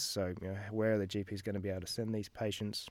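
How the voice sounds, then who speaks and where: A man with an Australian accent and a fairly low pitch, in a very clean recording with a silent background. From Australia, Melbourne. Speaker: GP and medical researcher. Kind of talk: interview.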